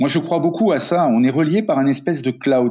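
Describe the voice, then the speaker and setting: A man speaks at a moderate pace in a fairly high, dark, mellow voice with lively intonation, against a quiet background. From Africa. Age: 50s. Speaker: coach and writer. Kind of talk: interview.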